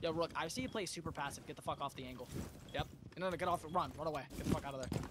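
Against noticeable background noise, a man speaks at a very fast pace with a fairly high pitch and ordinary pitch variation. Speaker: video game streamer. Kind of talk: live gameplay voice comms. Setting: online voice chat while gaming. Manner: excitable, rapid callouts.

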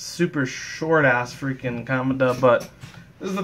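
The pitch shows ordinary variation. It is an unforced reading voice.

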